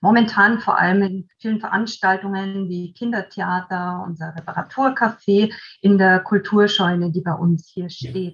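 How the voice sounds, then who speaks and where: A woman's somewhat breathy voice at medium pitch, moderate pace, ordinary pitch variation, and hardly any pauses. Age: 40s. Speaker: volunteer coordinator. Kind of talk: interview.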